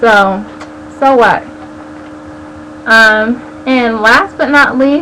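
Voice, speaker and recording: Here a woman speaks with an American accent and a high pitch. There is audible room echo and noticeable background noise. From US West Coast, San Diego. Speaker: video blogger. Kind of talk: casual vlog chat. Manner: animated.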